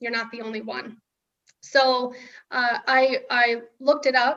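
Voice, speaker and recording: Her tone is bright and sharp, her pitch high, her pace fairly slow. The woman's loudness swings widely while her intonation stays fairly even. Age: 40s. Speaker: permanent makeup artist and nonprofit founder. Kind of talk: interview testimony. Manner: halting.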